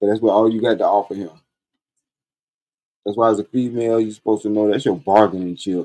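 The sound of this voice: A man talks at a fairly quick pace with fairly even intonation. His voice is fairly low in pitch, with a dark, mellow tone.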